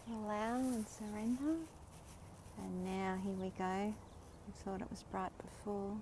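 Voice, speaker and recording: A woman with an Australian accent speaks at a medium pitch and a fairly slow pace, with long, frequent pauses and noticeable background noise. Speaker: spiritual livestreamer. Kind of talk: live stream commentary. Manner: animated.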